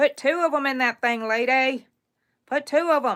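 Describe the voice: Using a put-on character voice, a woman speaks at a high pitch and moderate pace in a very clean recording with a silent background.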